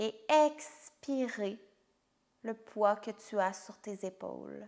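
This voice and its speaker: At a very slow pace, a woman speaks in a soothing tone with a fairly high pitch. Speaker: yoga instructor. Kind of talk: guided yoga nidra meditation. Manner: slow, soothing.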